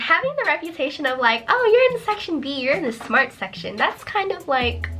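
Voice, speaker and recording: A woman with an American accent and lively intonation, over noticeable background noise. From United States. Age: 19. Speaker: nursing student vlogger. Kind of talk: personal vlog storytelling. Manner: casual with many fillers.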